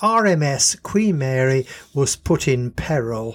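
A man talks with lively intonation and a fairly high pitch, his voice somewhat breathy. The recording is very clean, with a silent background. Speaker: storyteller. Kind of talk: storytelling narration.

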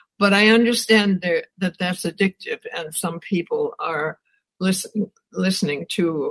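This woman speaks with an American accent and ordinary pitch variation. Her voice is somewhat breathy, and the sound is dry and close with no echo. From US Midwest, Wisconsin. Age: 80s. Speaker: professor and author. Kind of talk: interview.

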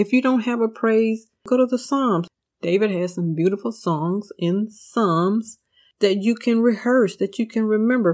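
On a very clean recording with a silent background, a woman with a fairly high pitch speaks in an ordinary speaking voice. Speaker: Bible teacher and podcast host. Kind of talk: devotional Bible study teaching. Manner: earnest, warm, preacherly.

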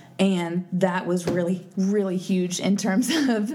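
A woman is speaking amid noticeable background noise. Audible room echo colors the sound. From East Texas. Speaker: podcast co-host. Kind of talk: casual chat.

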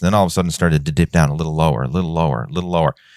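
On a very clean recording with a silent background and a dry, close sound with no echo, a man speaks at a very deep, low pitch. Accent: Newfoundland. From Newfoundland, Canada. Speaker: fitness coach. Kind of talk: casual chat.

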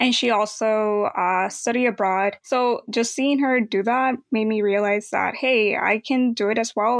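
Against a quiet background, a woman talks in a normal speaking voice. Her pitch is fairly high and her intonation fairly even. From Mexico, raised in Los Angeles from age eight. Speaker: college graduate, former exchange student. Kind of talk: interview.

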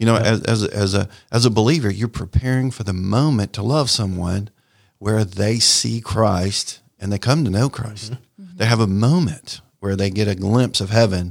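With an American accent, a man talks at a moderate pace in a plain, everyday voice, his pitch fairly low and its variation ordinary. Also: very clean recording, silent background. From US South, Raleigh, North Carolina. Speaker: sports ministry leader. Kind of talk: radio interview.

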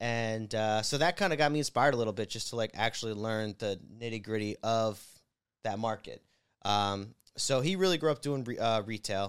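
On a very clean recording with a silent background, a man with an American accent and a plain, everyday voice speaks at medium pitch and a fairly quick pace, with ordinary pitch variation. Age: 20s. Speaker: real estate investor. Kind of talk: casual chat.

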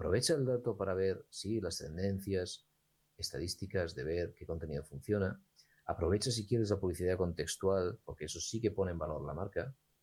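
A man's very deep, low voice, somewhat breathy, at a fairly quick pace with ordinary pitch variation. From Spain, raised partly in Gijón, Asturias. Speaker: entrepreneur and lawyer. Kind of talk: interview conversation.

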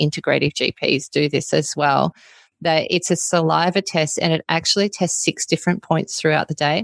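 With an Australian accent, a woman speaks at a very deep, low pitch and a fairly quick pace, her intonation fairly even, in a dry, close sound with no echo and a quiet background. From Australia (Melbourne). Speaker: naturopath. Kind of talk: interview.

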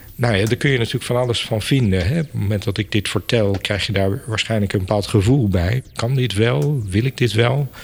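A man's fairly low, somewhat breathy voice at a fairly quick pace, with ordinary pitch variation and hardly any pauses. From Netherlands, Apeldoorn (Gelderland). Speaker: museum director. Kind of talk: interview.

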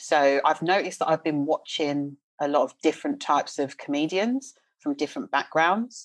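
A woman talks in a South London accent. Her pitch is very deep and low, and the background is quiet. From South London, England. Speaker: leadership coach. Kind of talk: casual chat.

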